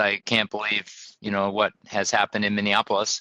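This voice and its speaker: This man speaks at a moderate pace. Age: 60s. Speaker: mayor. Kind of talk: interview. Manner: halting.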